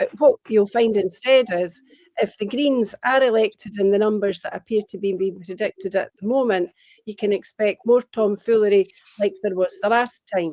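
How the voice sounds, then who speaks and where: The voice has a dark, mellow tone, a moderate pace and ordinary pitch variation, with a dry, close sound and no echo. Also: woman, fairly high pitch for a woman. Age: 60s. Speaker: pro-independence party member. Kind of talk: political discussion show interview.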